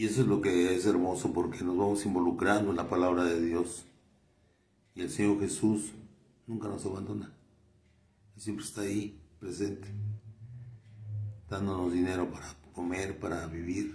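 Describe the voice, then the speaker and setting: A man's very deep, low voice, somewhat breathy and monotone, flat in intonation, at a moderate pace with long, frequent pauses and audible room echo. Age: 70s. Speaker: lay preacher and doctor. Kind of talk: sermon. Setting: doctor's office. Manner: halting.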